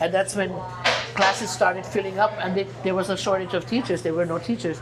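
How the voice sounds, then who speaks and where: A woman with a German accent at a medium pitch, ordinary pitch variation and a fairly quick pace, in audible room echo with music in the background. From Germany. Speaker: singer. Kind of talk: casual chat. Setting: restaurant. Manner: halting, repeats words.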